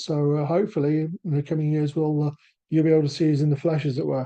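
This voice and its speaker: A man with a British accent, fairly high in pitch and dark, mellow in tone, at a very fast pace over a quiet background. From England. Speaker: assistive technology sales manager. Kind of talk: webinar presentation. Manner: halting.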